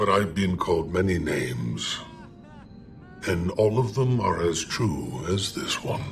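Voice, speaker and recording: A man talks at a fairly slow pace in a put-on character voice. Clear background noise runs underneath. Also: fairly low pitch for a man. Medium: machinima. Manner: calm, cryptic, faintly amused.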